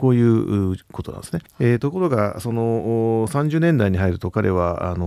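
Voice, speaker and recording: The recording is very clean and the background silent. A man's tone is dark and mellow. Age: 60s. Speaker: business executive and art museum founder. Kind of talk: radio interview.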